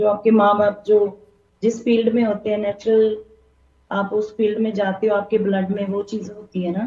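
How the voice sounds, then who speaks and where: A woman's somewhat breathy, dark, mellow voice in a Punjabi accent, medium in pitch, with monotone, flat intonation. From Punjab, India. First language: Punjabi (speaking Hindi). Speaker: singer. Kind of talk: interview. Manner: halting.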